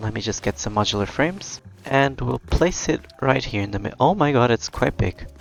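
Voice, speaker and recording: A man with a non-native accent talks at a moderate pace and medium pitch, his voice making very wide pitch swings. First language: not English. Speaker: gaming video creator. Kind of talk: let's play commentary. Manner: casual, chatty.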